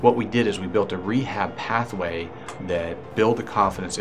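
Fairly even intonation from a man, over clear background music. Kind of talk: interview answer. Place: office. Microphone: lapel.

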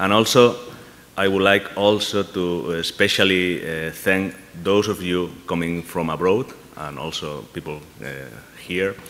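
Long, frequent pauses break up a man's speech at a fairly slow pace. His pitch is very deep and low, with ordinary variation. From Spain. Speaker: university administrator. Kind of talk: welcome speech. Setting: stage with audience. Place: hall. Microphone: podium.

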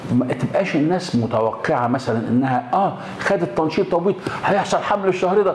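A man speaks at a moderate speed, with audible room echo and a little background noise around him. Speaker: gynecology professor. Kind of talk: explanatory talk to camera. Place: office. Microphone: lapel.

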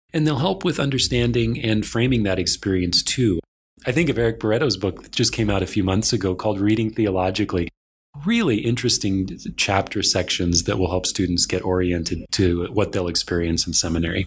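In an American accent, the speaker talks at a fairly quick pace, somewhat breathy, with ordinary pitch variation. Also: man, fairly low pitch for a man. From Kansas, US Midwest. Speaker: publisher and managing director. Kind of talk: interview. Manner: hesitant, with fillers.

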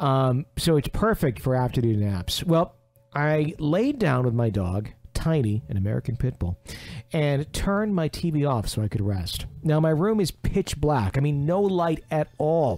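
Music plays in the background as a man talks at a fairly slow pace. His pitch swings very widely. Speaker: radio show host. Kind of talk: reading a listener's ghost story aloud.

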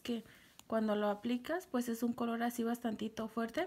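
Quiet and at a moderate pace, a woman speaks with a fairly high pitch, a slightly mellow tone and fairly even intonation.

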